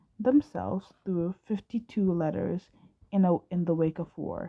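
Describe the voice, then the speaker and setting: Her pitch is fairly low and her tone dark and mellow as this woman speaks at a fairly slow pace. The sound is dry and close, with no echo. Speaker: amateur fanfiction audiobook reader. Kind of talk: casual chat; reading aloud. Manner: halting, frequent stumbles and restarts.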